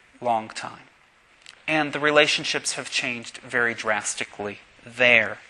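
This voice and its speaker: A man with an American accent talks at a fairly slow pace. Noticeable background noise can be heard. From Pittsburgh, Pennsylvania. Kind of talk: sermon.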